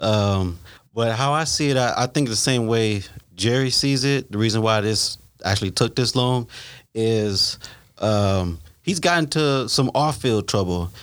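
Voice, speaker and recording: A man's normal speaking voice, medium in pitch, fairly slow, with ordinary pitch variation and very even loudness, on a very clean recording with a silent background. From Ohio. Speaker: football fan panelist. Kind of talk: casual sports chat.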